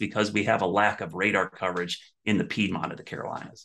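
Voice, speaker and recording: In an ordinary speaking voice, a man speaks at a fairly low pitch and a fairly quick pace. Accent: American. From Ohio, US Midwest. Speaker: TV meteorologist. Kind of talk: casual interview.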